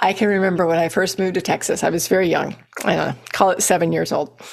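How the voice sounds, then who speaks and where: A woman with a fairly low pitch speaks at a moderate pace, with vocal fry. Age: 60s. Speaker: fitness coach. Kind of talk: podcast monologue. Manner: animated.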